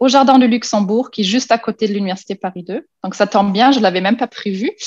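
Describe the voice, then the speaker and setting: A woman's fairly high, somewhat breathy voice at a very fast pace, dry and close with no echo. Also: ordinary pitch variation. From Germany. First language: German (speaking French). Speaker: university lecturer. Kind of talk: panel presentation. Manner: halting, many fillers.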